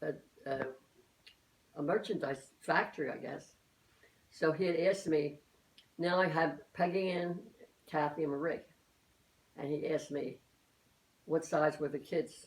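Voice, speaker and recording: A woman with an American accent and a very deep, low pitch speaks at a moderate pace with fairly even intonation and long, frequent pauses. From Philadelphia, US. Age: 80s+. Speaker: elderly mother interviewed by her daughter. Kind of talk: family oral-history interview. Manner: halting, many repetitions and false starts.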